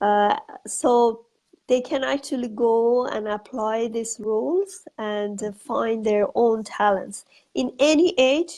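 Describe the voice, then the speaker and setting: This woman has an Iranian accent. Her pitch is fairly high. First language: Farsi. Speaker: author and educator. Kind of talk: interview. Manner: halting.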